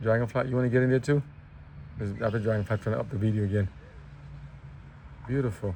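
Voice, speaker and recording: A man mumbles at a very fast pace, breaking it with long, frequent pauses. His tone is dark and mellow, somewhat breathy, with fairly even intonation. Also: medium pitch for a man. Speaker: vlogger. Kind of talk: casual walking vlog commentary. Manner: mumbling.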